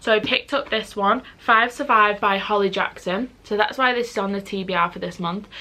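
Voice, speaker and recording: The speaker has a Mancunian accent and a bright, sharp tone. The pace is fairly quick, with hardly any pauses and ordinary pitch variation. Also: woman, medium pitch for a woman. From Manchester, northern England. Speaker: book youtuber. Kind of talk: casual vlog talk. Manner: fast.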